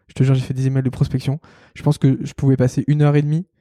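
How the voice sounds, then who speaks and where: A man talks at a very fast pace with a fairly high pitch and a dark, mellow tone. The sound is dry and close, with no echo. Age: 20s. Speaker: head of design at a startup. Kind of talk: casual interview.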